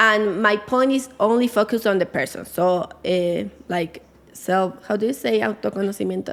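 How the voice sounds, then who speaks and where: A woman with a Spanish accent speaks at a medium pitch and a moderate pace, with ordinary pitch variation. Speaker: life coach. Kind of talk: podcast interview. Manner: halting.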